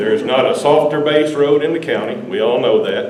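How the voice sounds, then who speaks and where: A man with a Texas accent at a moderate pace, with audible room echo and noticeable background noise. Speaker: local resident. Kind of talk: public meeting comment. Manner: loud.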